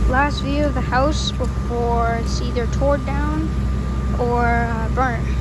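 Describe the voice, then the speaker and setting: Loud background noise surrounds a woman's voice, though the sound itself is dry with no echo. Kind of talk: casual vlog commentary. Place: open country. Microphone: phone near.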